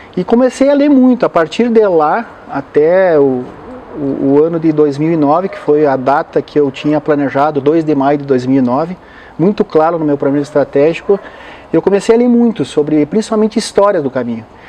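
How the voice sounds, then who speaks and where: The intonation is lively and the pace moderate. Noticeable background noise is present. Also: man, fairly high pitch for a man. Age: 60s. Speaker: motivational speaker and pilgrim. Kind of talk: interview. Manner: hesitant, with frequent fillers.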